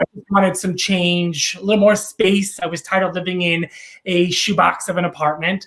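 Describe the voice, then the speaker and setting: Speaking with a strong New York accent, a man talks at a moderate pace in a high pitch with monotone, flat intonation. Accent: thick New York. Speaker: real estate agent. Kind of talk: casual interview. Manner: halting, many fillers.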